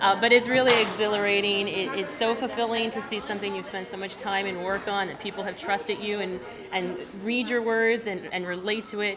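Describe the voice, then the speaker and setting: A fairly quick pace and fairly even intonation in an American accent, with noticeable background noise and audible room echo. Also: woman, medium pitch for a woman. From northern New Jersey. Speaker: romance novelist. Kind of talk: interview at a book festival. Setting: book festival event.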